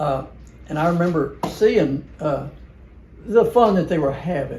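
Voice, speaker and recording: Speaking at a moderate pace with a Southern US accent, a man is heard with audible room echo. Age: 80s+. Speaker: family member reminiscing. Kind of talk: casual chat. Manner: halting.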